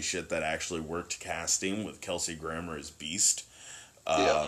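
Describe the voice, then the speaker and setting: This man has a bright, sharp tone. His pitch varies in an ordinary way. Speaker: podcast host. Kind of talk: casual chat.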